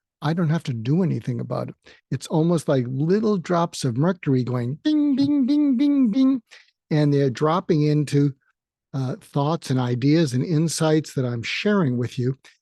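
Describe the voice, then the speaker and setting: The tone is dark and mellow. The sound is dry and close, without any echo. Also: man. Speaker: psychiatrist and podcast host. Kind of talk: solo podcast monologue. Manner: slow.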